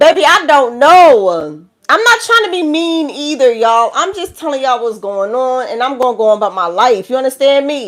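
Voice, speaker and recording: Speaking at a moderate pace with hardly any pauses, a woman with a New York accent swings her pitch very widely. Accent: New York City. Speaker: tarot reader. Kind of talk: live tarot reading. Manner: animated.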